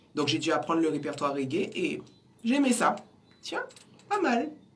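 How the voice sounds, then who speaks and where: Audible room echo surrounds a woman who talks fairly slowly at a fairly low pitch. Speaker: singer. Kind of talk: interview. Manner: halting.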